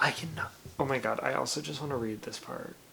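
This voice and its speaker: A man speaks quietly at a moderate pace over noticeable background noise. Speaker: booktuber / reading vlogger. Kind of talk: casual vlog. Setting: in bed at night.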